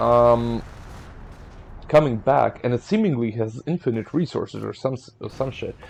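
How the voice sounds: A medium-pitched male voice with an Eastern European accent and ordinary pitch variation. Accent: Slavic.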